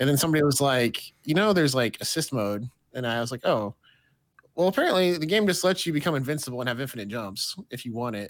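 Lively in intonation, a man talks at a very fast pace. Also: medium pitch for a man. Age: 30s. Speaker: game reviewer. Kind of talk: casual chat.

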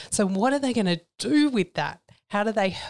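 In an Australian accent, a woman speaks at a moderate pace on a very clean recording with a silent background. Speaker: psychologist and company CEO. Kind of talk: interview. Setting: studio.

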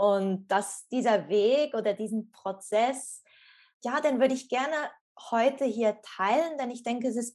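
In an unremarkable speaking voice, a woman talks fairly high, with ordinary pitch variation. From Switzerland. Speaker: former yoga teacher and coach. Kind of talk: interview, personal story.

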